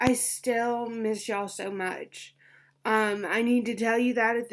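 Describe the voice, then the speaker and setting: Recorded very cleanly against a silent background, a woman speaks at a high pitch and a fairly slow pace. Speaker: teacher. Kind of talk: casual talk to camera.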